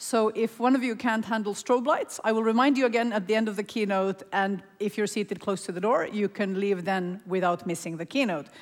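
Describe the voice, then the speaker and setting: A woman with a normal speaking voice and a fairly high pitch. She talks at a fairly quick pace with ordinary pitch variation. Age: 40s. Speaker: panel moderator. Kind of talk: panel discussion; event announcements. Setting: conference stage with audience.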